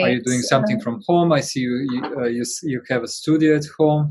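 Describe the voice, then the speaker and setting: A man talks in a plain, everyday voice. He keeps a moderate pace with ordinary pitch variation. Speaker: interviewer.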